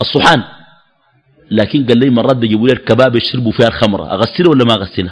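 A man at a fairly quick pace, animated in tone. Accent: Sudanese. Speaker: Islamic preacher. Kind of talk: religious lecture.

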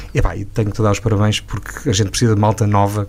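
A man talks at a very fast pace in a fairly low pitch. Noticeable background noise is present. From Portugal, Douro region. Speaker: radio host. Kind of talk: interview.

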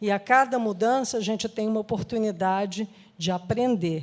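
Heard here is an ordinary speaking voice, a woman's, at a moderate pace with fairly even intonation. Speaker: social entrepreneur. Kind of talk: interview.

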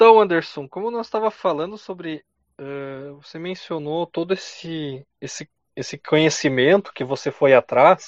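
An ordinary speaking voice, a man's, fairly high in pitch with ordinary pitch variation, big swings in loudness and a fairly slow pace. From southern Brazil, Rio Grande do Sul (Carazinho). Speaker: podcast host. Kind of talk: casual chat.

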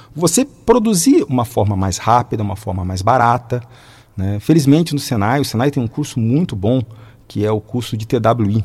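The speaker talks at a moderate pace with ordinary pitch variation. The voice is somewhat breathy. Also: man, medium pitch for a man. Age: 40s. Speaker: mechanical engineer and teacher. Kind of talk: radio interview.

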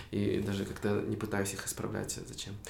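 There is audible room echo as a man speaks at a fairly slow pace. His tone is animated. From Kyrgyzstan, Tokmok. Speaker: content creator. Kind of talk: casual chat.

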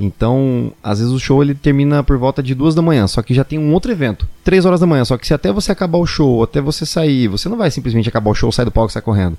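Talking very fast with hardly any pauses, a man uses a fairly high, dark and mellow voice with lively intonation. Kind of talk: casual interview chat.

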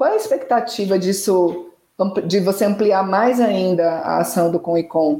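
Speaking fairly slowly with ordinary pitch variation, this is an unremarkable speaking voice. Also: woman, medium pitch for a woman. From Brazil, Salvador. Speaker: communications consultant acting as interviewer. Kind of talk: interview. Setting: live online stream.

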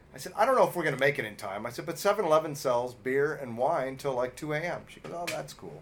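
A man's fast, fairly high voice in an American accent, with lively intonation, big swings in loudness, hardly any pauses and noticeable background noise. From Los Angeles. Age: 50s. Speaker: podcast host. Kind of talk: casual chat.

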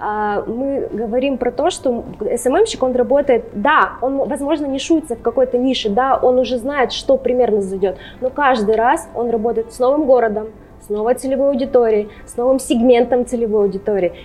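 Amid noticeable background noise, a woman with a high pitch speaks at a moderate pace, her loudness swinging widely. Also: ordinary pitch variation. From Russia, Urals (Sverdlovsk region military town). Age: 20s. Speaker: social media content manager. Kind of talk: interview conversation. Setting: pub.

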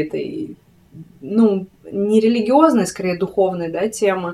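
This voice belongs to a woman. It carries a dark, mellow tone. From Siberia, Krasnoyarsk. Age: 30s. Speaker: fashion writer and spiritual practitioner. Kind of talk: casual interview. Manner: talkative.

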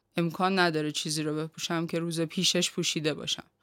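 A woman speaks in an ordinary speaking voice, fairly low in pitch. Her intonation is fairly even, on a very clean recording with a silent background. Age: 40s. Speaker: graphic artist. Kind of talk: podcast interview.

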